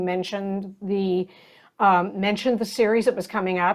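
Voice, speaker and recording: A woman with an unremarkable speaking voice speaks at a moderate pace. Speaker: podcast host. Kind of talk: interview conversation.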